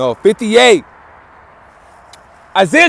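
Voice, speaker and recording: Over noticeable background noise, a man speaks loudly in an animated tone. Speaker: religious teacher. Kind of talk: sermon.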